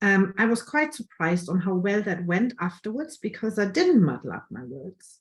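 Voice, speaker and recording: With a strong German accent, a woman talks at a moderate pace and a medium pitch, her somewhat breathy voice showing very wide pitch swings and big swings in loudness, with hardly any pauses. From Germany. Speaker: photographer. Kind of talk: online workshop presentation.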